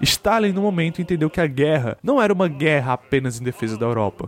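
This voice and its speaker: Through noticeable background noise, a man with a fairly high pitch makes very wide pitch swings. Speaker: history podcaster. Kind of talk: scripted narration. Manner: casual, conversational.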